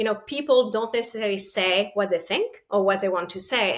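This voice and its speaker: A woman's medium-pitched voice, with ordinary pitch variation, comes through on a very clean recording against a silent background. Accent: French. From France. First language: French. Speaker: partner sales leader. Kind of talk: interview.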